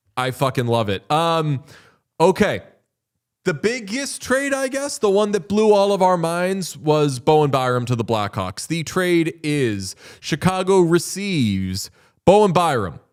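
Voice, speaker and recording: A man with a slight Boston accent and an animated tone speaks at a fairly slow pace, fairly high in pitch with very wide swings, on a very clean recording with a silent background. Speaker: hockey podcast host. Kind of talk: casual chat. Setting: studio.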